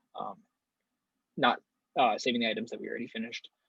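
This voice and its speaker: The voice shows ordinary pitch variation, with a dry, close sound and no echo. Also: man. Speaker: workshop instructor. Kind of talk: tutorial. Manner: fast; halting, many fillers.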